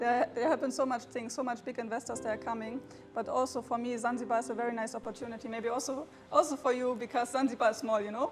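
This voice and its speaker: A woman with a German accent speaks very fast at a high pitch in a monotone, flat intonation, with noticeable background noise behind her. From Germany. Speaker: crypto trader. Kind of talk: podcast interview. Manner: hesitant, with fillers.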